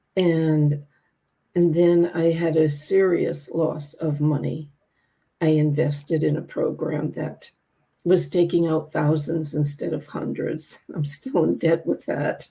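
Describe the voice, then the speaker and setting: A woman speaks very slowly in a very deep, low pitch with a dark, mellow tone. Her voice is somewhat breathy and her intonation is monotone and flat. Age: 80s+. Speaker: grief coach and author. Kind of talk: interview.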